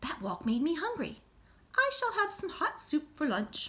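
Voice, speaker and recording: This is a put-on character voice, squeaky and full of very wide pitch swings. It moves at a moderate pace. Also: woman, extremely high pitch for a woman. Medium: read story. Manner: fussy, mild exclamations.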